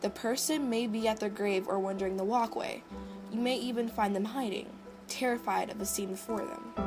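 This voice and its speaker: Against music in the background, a woman speaks at a medium pitch and moderate pace with ordinary pitch variation. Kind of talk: horror story narration.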